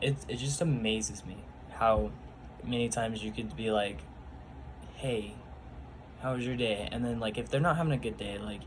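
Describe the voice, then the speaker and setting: A somewhat breathy man with lively intonation and long, frequent pauses, in audible room echo. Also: medium pitch for a man, moderate pace. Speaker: youth bible study leader. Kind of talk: casual personal testimony vlog. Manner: halting, many fillers.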